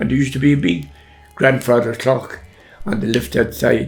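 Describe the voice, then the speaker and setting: Music plays behind a man with an Irish accent. His medium pitch takes very wide swings at a fairly quick pace. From Ireland, County Tipperary. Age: 80s+. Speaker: grandfather telling his life story. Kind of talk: interview reminiscence. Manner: halting, with repetitions.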